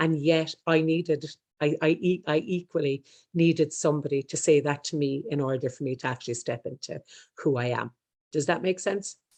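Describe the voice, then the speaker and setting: A woman's very deep, low voice with an Irish accent, a fairly quick pace and ordinary pitch variation over a quiet background. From Ireland. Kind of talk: interview, personal story. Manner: very fast; stumbles over words.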